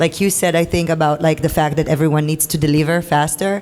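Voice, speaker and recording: Speaking with a non-native accent, a woman keeps her pitch fairly low. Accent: foreign accent in English. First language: not English. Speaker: creative director and editor. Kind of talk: panel discussion. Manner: halting, repeats words.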